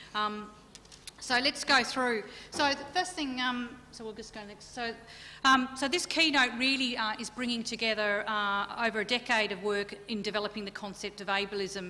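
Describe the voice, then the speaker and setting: In an Australian accent, a woman speaks at a moderate pace with a fairly high pitch, bright, sharp tone, ordinary pitch variation and big swings in loudness. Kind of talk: keynote lecture. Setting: conference stage with audience. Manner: animated. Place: hall. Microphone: podium.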